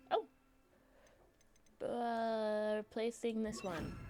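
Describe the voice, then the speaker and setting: There is music in the background as a woman speaks at a fairly high pitch. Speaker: gaming streamer. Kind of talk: casual gameplay commentary. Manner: animated.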